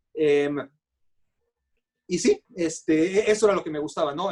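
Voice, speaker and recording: The speaker is a man. His voice is fairly high in pitch. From Mexico. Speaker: sports journalist. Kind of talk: interview. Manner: halting, many fillers.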